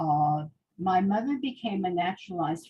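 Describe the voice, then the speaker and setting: A woman with an American accent speaks at a medium pitch, her dark, mellow tone somewhat breathy and her intonation lively. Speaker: Holocaust survivor. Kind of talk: testimony.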